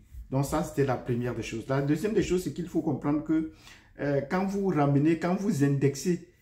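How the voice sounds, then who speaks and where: Speaking with a Cameroonian accent, a man uses a fairly high pitch and a dark, mellow tone that is somewhat breathy. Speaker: YouTube commentator and teacher. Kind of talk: video commentary. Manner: hesitant, with frequent fillers.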